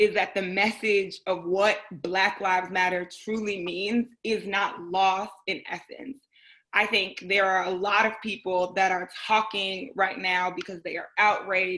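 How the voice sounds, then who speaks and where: A woman with an American accent, medium in pitch, bright and sharp in tone, monotone and flat in intonation, at a fairly slow pace. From US Midwest, Chicago. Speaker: podcast co-host. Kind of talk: podcast discussion.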